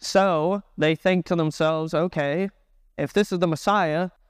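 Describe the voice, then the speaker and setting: On a very clean recording with a silent background and a dry, close sound with no echo, a man speaks in a high pitch with a Texan accent, ordinary pitch variation, and a moderate pace. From Texas, Dallas. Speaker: children's pastor. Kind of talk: sermon.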